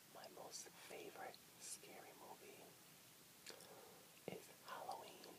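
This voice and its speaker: Over loud background noise, a soft-spoken man whispers at a very slow pace. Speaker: vlogger. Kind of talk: casual vlog chat. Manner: soft whispered ASMR speech. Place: home room. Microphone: webcam.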